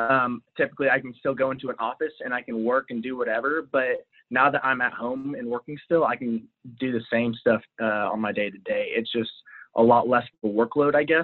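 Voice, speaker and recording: Here is a man with an American accent and an unremarkable speaking voice. He talks at a fairly quick pace and a medium pitch. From Texas. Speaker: sales worker, fan guest. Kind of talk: casual chat.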